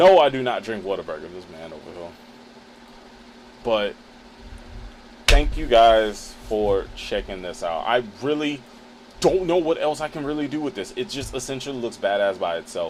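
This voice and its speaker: A man at a medium pitch speaks at a moderate pace with an animated tone, his pitch swinging very widely and his loudness rising and falling sharply. Long pauses come often, over noticeable background noise. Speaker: photographer and streamer. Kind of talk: live stream tutorial. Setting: live stream. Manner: casual, animated.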